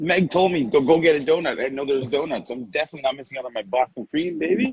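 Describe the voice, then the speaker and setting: A man's animated tone at fairly high pitch and a very fast pace, with ordinary pitch variation, big swings in loudness, and a dry, close sound with no echo. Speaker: shaving products shop host. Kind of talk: casual chat. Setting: outdoors.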